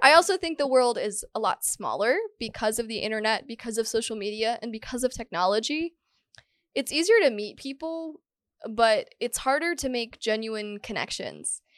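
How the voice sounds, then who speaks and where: A plain, everyday voice from a woman, fairly high in pitch with lively intonation, at a moderate pace, dry and close with no echo over a quiet background. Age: 20s. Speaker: podcast host. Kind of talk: casual solo monologue. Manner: casual, conversational.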